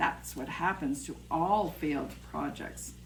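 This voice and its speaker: The speaker uses a put-on character voice at a fairly slow pace. Clear background noise can be heard. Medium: read story. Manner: kindly.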